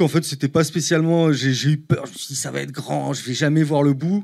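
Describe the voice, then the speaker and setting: The speaker goes at a moderate pace against a quiet background. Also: man. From Paris, France. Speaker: painter; guest. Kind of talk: casual interview. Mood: relaxed, thoughtful. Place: studio. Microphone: handheld.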